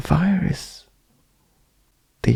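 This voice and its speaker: Someone whispers at a very slow pace. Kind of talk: ASMR bedtime talk, rambling philosophical monologue. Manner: soft-spoken, slow, musing.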